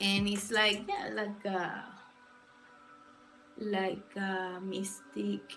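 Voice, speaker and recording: In a Spanish accent, the speech comes very slowly with long, frequent pauses and a flat monotone. Audible room echo and noticeable background noise fill the recording. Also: woman, medium pitch for a woman. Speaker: illustrator streamer. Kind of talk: casual livestream chat. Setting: livestream. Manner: halting.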